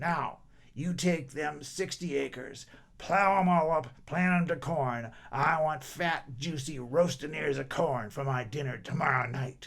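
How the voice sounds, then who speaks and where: A man puts on a character voice that is raspy and fairly high in pitch. He delivers it at a fairly slow pace. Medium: read story. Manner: bossy, demanding.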